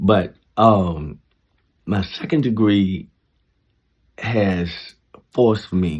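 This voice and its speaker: Very deep and low in pitch, a man talks with ordinary pitch variation. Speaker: vlogger giving life advice. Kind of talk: casual monologue. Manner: slow; halting.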